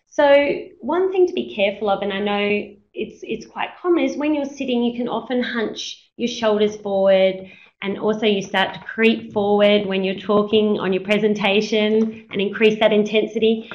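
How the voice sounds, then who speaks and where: A woman with a fairly high pitch talks at a moderate pace, using ordinary pitch variation and hardly any pauses. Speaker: teacher presenting a webinar. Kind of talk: webinar presentation. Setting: web conference.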